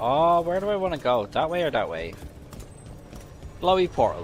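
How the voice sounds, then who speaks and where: A man with a Dublin accent and a fairly high pitch talks at a fairly quick pace, with very wide pitch swings. Long, frequent pauses break up his speech, and there is noticeable background noise. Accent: Dublin Irish. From Ireland, Dublin (Tallaght). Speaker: video game streamer. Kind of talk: casual livestream gameplay commentary. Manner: animated.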